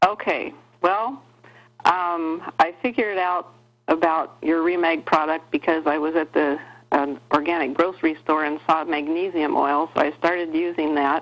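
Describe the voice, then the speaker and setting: A woman with a fairly low pitch speaks at a moderate pace with fairly even intonation. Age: 60s. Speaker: caller. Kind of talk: call-in question on health show. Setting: phone call.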